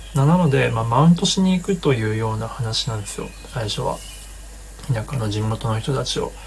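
Noticeable background noise sits behind a relaxed tone delivered at a fairly quick pace. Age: 30s. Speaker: livestream host, filmmaker. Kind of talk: casual livestream talk. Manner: relaxed, many fillers.

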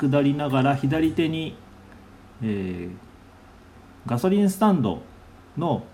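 The voice has a dark, mellow tone and very wide pitch swings, with long, frequent pauses and audible room echo. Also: man. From Nagasaki, Japan. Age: 40s. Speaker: cafe owner and podcaster. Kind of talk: casual monologue. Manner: halting, many fillers.

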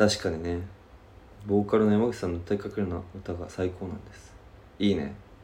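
Speaking at a fairly quick pace with long, frequent pauses, a man uses a very deep, low pitch, a dark, mellow tone, a somewhat breathy quality and fairly even intonation. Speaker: podcast co-host. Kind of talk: casual chat. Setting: rented studio space in Shibuya.

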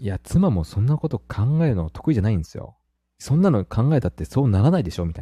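A man talks at a very fast pace in a dark, mellow, somewhat breathy voice, with very wide pitch swings and big swings in loudness. The recording is very clean, with a silent background. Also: medium pitch for a man, dry, close sound with no echo. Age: 30s. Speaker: married father of a young child. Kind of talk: casual chat.

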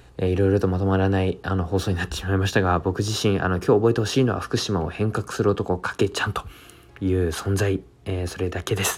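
Speaking at a very fast pace, a man keeps a very deep, low pitch and a monotone, flat intonation. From Japan, Fukushima (Koriyama). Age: 20s. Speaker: entrepreneur and public speaker. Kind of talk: self-introduction monologue. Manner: halting, many fillers.

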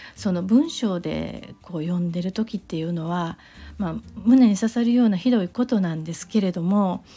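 A woman speaks at medium pitch and a moderate pace, with ordinary pitch variation. Her tone is dark, mellow, and somewhat breathy. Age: 40s. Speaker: podcaster. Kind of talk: solo monologue. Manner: halting, many fillers.

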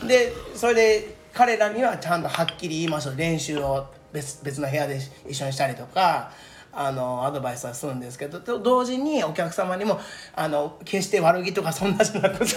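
Amid noticeable background noise and audible room echo, a man speaks at a fairly quick pace and high pitch with lively intonation and big swings in loudness. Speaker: udon shop promoter. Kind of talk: casual chat.

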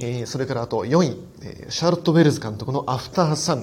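With ordinary pitch variation, a man's somewhat breathy voice is heard. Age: 40s. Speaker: film critic podcaster. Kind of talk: solo film review monologue. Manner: fast run-on narration; frequent fillers.

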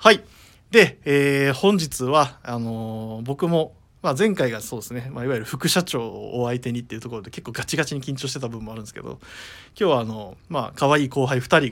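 A man speaks in an ordinary speaking voice at a medium pitch, moving at a fairly quick pace. His loudness swings widely while his pitch varies in an ordinary way. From Okayama, Japan. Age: 30s. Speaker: radio host and clothing store staff. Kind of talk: casual radio talk show. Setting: studio.

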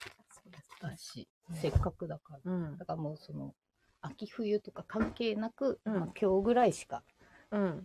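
A woman with a dark, mellow tone and vocal fry speaks at medium pitch with lively intonation and big swings in loudness. Long, frequent pauses break up her speech, and the sound is dry and close with no echo. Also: moderate pace. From Ibaraki, Japan. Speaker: podcast co-host. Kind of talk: casual chat.

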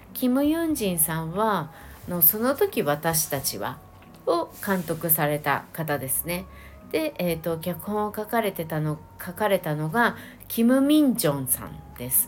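Her pitch is fairly low and swings very widely. The woman speaks at a fairly slow pace. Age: late 40s to early 50s. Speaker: podcast host, Korean drama fan. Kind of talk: casual solo review talk. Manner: chatty, many fillers.

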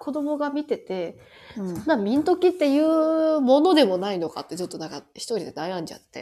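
With a Kansai accent, a woman speaks at a moderate pace in a high pitch and dark, mellow tone, her pitch swinging very widely and her loudness shifting in big swings, over a silent background in a very clean recording. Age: 30s. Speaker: podcast co-host. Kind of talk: casual chat.

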